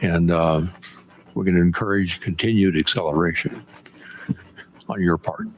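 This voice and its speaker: Over noticeable background noise, the speech moves at a moderate pace with fairly even intonation and long, frequent pauses. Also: man, very deep, low pitch for a man. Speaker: board chair. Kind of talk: public meeting.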